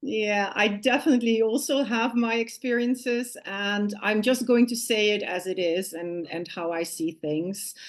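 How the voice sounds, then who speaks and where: The speaker has a Dutch accent and a fairly slow pace. There are hardly any pauses, and the pitch varies in an ordinary way. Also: woman, fairly high pitch for a woman. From Netherlands. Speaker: business consultant. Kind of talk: interview.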